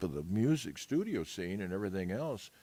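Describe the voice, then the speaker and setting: With an American accent, a man speaks at a very deep, low pitch. Vocal fry runs through his voice. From US Pacific Northwest, Seattle. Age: 70s. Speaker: jazz musician. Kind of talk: interview. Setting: live stream from a museum. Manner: halting, many fillers and restarts.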